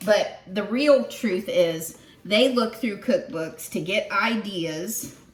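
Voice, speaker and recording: Lively intonation marks a woman's speech over noticeable background noise. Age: 60s. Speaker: home cooking video host. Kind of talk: cooking tutorial, casual chat. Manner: casual, chatty.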